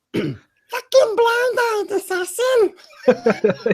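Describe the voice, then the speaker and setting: A squeaky, put-on character voice at extremely high pitch, in a northern accent. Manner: scolding, harsh.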